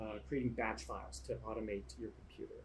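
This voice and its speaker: His voice is somewhat breathy, and this man has a dark, mellow tone. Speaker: YouTube tutorial host. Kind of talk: tutorial. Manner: fast.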